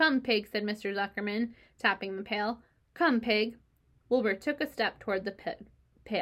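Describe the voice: What we hear is someone doing plain reading aloud.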